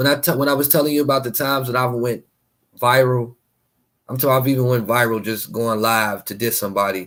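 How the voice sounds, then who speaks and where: The speech shows ordinary pitch variation on a very clean recording with a silent background. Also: man. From Gary, Indiana, US Midwest. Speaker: live streamer and fashion artist. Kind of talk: casual livestream chat. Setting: live stream with music playing. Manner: fast; unscripted, free-flowing.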